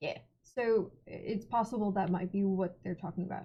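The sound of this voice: A woman speaks at a medium pitch and a moderate pace, with a slightly husky edge and fairly even intonation.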